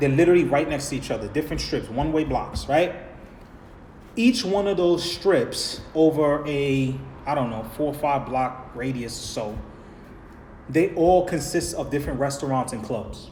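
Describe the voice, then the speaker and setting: With a New York accent, a man speaks in an animated tone at a moderate pace and fairly high pitch, with noticeable background noise and audible room echo. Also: ordinary pitch variation. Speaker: vlogger. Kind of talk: live stream Q&A. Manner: casual, animated.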